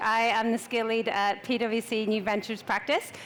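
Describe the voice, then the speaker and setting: A woman's fairly high voice in an Irish accent. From Ireland. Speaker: consultant, angel investor. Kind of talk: panel discussion. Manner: fast.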